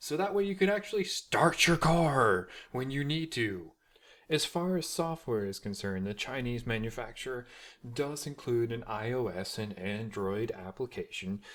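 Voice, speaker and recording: A medium-pitched man with an American accent, moderate pace, very wide pitch swings, and a very clean recording with a silent background. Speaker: tech reviewer. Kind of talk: product review tutorial. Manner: loud.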